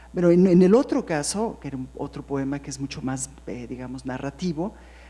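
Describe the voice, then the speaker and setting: With a very deep, low pitch, a dark, mellow tone and vocal fry, a woman speaks at a fairly quick pace with lively intonation. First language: English (speaking Spanish). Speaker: poet. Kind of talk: panel discussion. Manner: halting.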